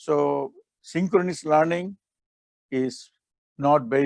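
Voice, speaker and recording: A man with a fairly high pitch and ordinary pitch variation talks at a fairly slow pace, in a dry, close sound with no echo. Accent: non-native. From Bangladesh, Chittagong. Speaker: professor. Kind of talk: keynote lecture.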